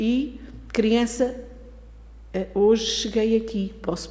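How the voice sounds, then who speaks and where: Very slow speech from a woman amid noticeable background noise and audible room echo. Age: 70s. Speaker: spiritist lecturer. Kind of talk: lecture.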